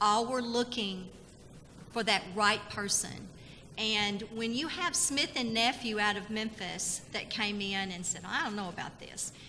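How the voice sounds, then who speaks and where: A woman with a slight Tennessee accent speaks at a fairly slow pace and fairly high pitch, with ordinary pitch variation. Room echo is audible. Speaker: state labor department communications official. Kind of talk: conference presentation. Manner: animated.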